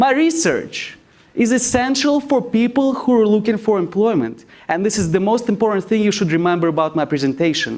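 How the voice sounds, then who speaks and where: Using a high pitch with very wide swings, a man with a non-native accent speaks at a moderate pace. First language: not English. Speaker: graduate student presenter. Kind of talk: competition speech. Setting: stage with audience.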